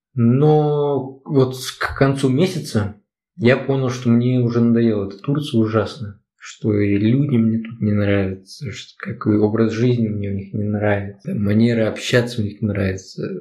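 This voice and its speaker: A man speaks at a medium pitch in a dark, mellow tone. His voice is somewhat breathy, and his pace is fairly slow. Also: ordinary pitch variation. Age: 20s. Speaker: podcast co-host. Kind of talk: casual chat.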